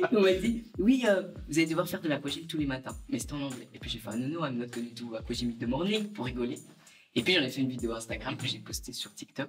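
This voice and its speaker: Music plays behind a man with a Belgian accent and a fairly high pitch. He talks at a very fast pace with very wide pitch swings. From Belgium. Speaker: social media creator. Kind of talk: casual interview. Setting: outdoor terrace.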